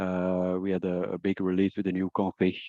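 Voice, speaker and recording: A man speaks at a moderate pace with a non-native accent, his voice dry and close with no echo against a quiet background. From Belgium. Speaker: product trainer. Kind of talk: webinar presentation. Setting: online webinar. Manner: halting, many fillers.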